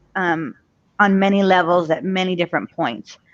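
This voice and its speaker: A woman speaks with an American accent at a moderate pace. The sound is dry and close with no echo, over a quiet background. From US, Egyptian family. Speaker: coaching client. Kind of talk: personal testimony. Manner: halting.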